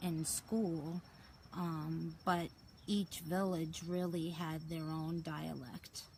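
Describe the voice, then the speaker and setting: A woman's fairly low, somewhat breathy voice, very slow and monotone with flat intonation. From Portugal. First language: Portuguese. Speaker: detox and raw lifestyle coach. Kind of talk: personal story monologue. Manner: halting, many filler words.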